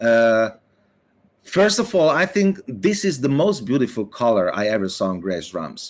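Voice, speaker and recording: His pitch rises and falls very widely while the man keeps a moderate tempo. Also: medium pitch for a man. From Hungary. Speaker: drummer. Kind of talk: interview. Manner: halting.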